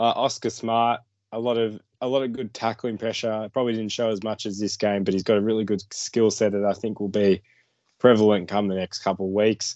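Fairly low-pitched man with an Australian accent, fairly quick, monotone and flat in intonation. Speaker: junior football draft podcast co-host. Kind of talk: casual sports analysis chat. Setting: recorded video podcast.

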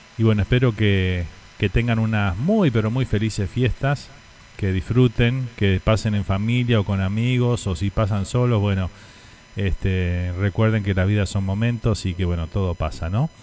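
Against noticeable background noise, a man speaks at a moderate pace. His fairly low pitch has ordinary pitch variation. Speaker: radio host. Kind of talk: casual chat. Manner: animated.

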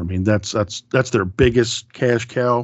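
A man talks fairly slowly in a normal speaking voice, with ordinary pitch variation. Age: 50s. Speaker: horror podcast host. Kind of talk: casual chat.

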